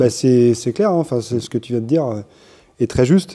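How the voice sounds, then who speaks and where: A man in a plain, everyday voice with ordinary pitch variation, in a very clean recording with a silent background. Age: 40s. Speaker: business owner, parent of young rider. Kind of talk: interview.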